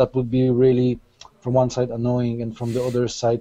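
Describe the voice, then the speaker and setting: Speaking with a Polish accent, a man has a medium pitch, a dark, mellow tone and monotone, flat intonation. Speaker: SEO panelist. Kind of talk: panel discussion.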